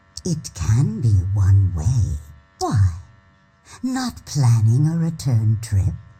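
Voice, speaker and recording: A man puts on a character voice at a medium pitch. He goes at a very slow pace with long, frequent pauses. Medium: video game. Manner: weary, lofty.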